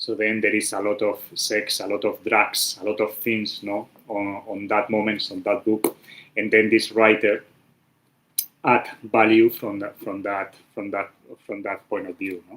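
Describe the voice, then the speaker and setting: A man's fairly slow, monotone delivery with a Spanish accent, flat in intonation, with big swings in loudness. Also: fairly low pitch for a man. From Spain. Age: 40s. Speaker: architect, livestream host. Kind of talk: casual livestream talk. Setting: YouTube livestream. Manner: halting, many fillers.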